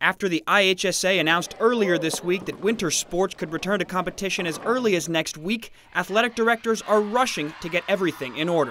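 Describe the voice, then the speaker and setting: A man talks at a very fast pace in a raised, projected voice, high-pitched, with ordinary pitch variation. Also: hardly any pauses. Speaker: sports reporter. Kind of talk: TV news sports package voice-over.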